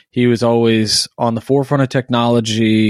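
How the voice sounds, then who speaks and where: Fairly even intonation marks this man's speech. The recording is very clean, its background silent. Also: dry, close sound with no echo. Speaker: podcast host and blog editor. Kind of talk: casual chat. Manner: hesitant with many fillers.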